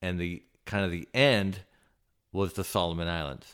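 Very deep and low, a man's voice carries an American accent in a very clean recording with a silent background. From Southern California (Santa Barbara). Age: 50s. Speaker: submersible pilot. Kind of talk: casual interview conversation. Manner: halting, many fillers.

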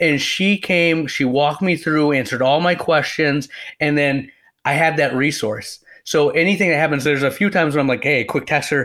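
A man with an American accent talks at a moderate pace, with a fairly high pitch, ordinary pitch variation, and a bright, sharp tone. His loudness stays very even in a very clean recording with a silent background. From West Michigan, US. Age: young. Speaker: optometrist. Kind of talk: casual interview.

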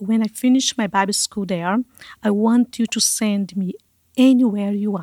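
A woman with a Brazilian accent speaks in a fairly even intonation, recorded very cleanly against a silent background with a dry, close sound and no echo. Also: medium pitch for a woman, moderate pace. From Brazil, Manaus (Amazon). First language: Portuguese. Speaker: missionary, ministry leader. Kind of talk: testimony. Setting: studio.

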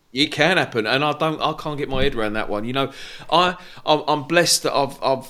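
Fairly quick male speech, fairly high in pitch, its variation ordinary, with noticeable background noise. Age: 40s. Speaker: podcast host. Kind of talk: casual interview chat. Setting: video call.

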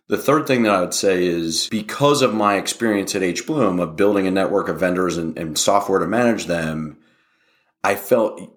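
A man with an American accent has a normal speaking voice, fairly low in pitch with ordinary pitch variation. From West Virginia. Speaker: tech company founder and CEO. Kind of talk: interview.

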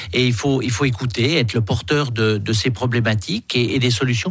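Over noticeable background noise, a man speaks at a medium pitch and a moderate pace with lively intonation. His loudness stays very even. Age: 60s. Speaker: politician. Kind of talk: radio interview. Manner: halting, repeats words.

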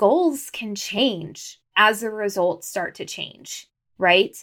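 A woman with a plain, everyday voice speaks at a fairly high pitch with ordinary pitch variation, in a very clean recording with a silent background. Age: 30s. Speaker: podcast host and podcast production business owner. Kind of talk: solo podcast monologue. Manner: conversational.

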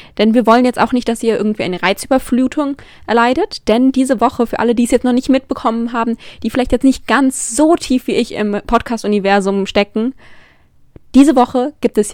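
In a dry, close recording with no echo, a woman speaks at a fairly quick pace with a fairly high pitch and ordinary pitch variation. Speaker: podcast host. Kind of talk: solo monologue. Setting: alone in her room. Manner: affected-sounding.

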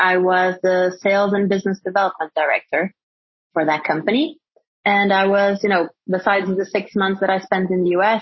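This woman speaks with a Portuguese accent. Her pitch is medium, and her pace is moderate. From Portugal. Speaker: startup executive. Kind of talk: interview.

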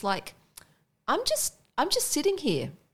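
Woman with an Australian accent at a moderate pace, on a very clean recording with a silent background. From Indonesia, raised by Australian missionary parents. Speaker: missionary and PhD researcher. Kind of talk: casual interview about faith and burnout.

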